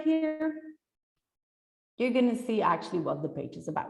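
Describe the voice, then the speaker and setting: Her pitch rises and falls across a very wide range. The woman keeps a moderate pace. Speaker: SEO specialist giving a conference talk. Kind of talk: presentation. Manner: enthusiastic.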